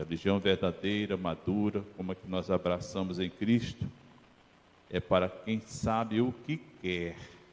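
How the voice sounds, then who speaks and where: Loudness swings widely as a man talks at a fairly slow pace. His pitch is very deep and low, with fairly even intonation. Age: 70s. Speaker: pastor. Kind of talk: sermon.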